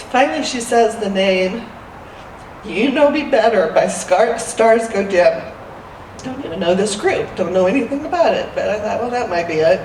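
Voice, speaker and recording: With lively intonation and a fairly high pitch, a woman speaks at a moderate pace amid noticeable background noise and audible room echo. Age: 60s. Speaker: church member sharing a story. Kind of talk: personal testimony.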